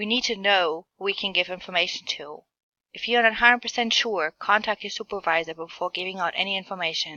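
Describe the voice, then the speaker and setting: Ordinary pitch variation marks this woman's speech. She talks at a very fast pace. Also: medium pitch for a woman. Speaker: healthcare administration student. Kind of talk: class presentation narration. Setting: screen recording.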